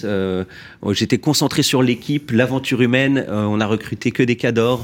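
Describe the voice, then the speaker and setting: Ordinary pitch movement, very clean recording, silent background. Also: man. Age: 30s. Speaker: company executive. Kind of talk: radio interview.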